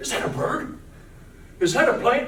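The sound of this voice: With strong room echo, a man does a put-on character voice in a fairly bright tone at a fairly slow pace.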